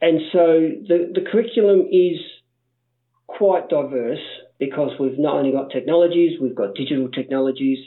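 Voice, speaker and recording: This man has an Australian accent and a fairly high pitch, speaking at a moderate pace with ordinary pitch variation. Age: 50s. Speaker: primary school STEM teacher. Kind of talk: interview.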